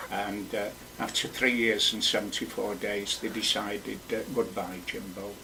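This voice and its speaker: Delivered in a monotone, flat way with a Lancashire accent, the speech carries audible room echo and noticeable background noise. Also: man, fairly low pitch for a man, moderate pace. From northern England, Wigan and Blackpool. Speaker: poet. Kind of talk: radio interview. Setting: studio. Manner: halting.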